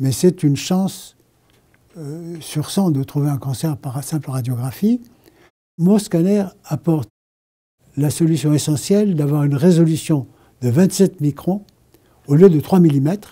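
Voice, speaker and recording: A man with a fairly high pitch speaks slowly in a dark, mellow, somewhat breathy tone. His intonation is lively, broken by long, frequent pauses. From France. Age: 80s. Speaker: inventor. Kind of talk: interview answer.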